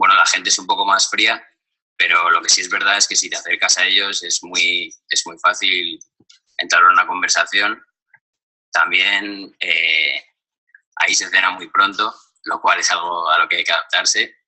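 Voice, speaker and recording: The speaker keeps a moderate pace but stops for long, frequent pauses. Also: man. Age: young. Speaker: university student. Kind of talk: recorded testimony. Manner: halting, many fillers.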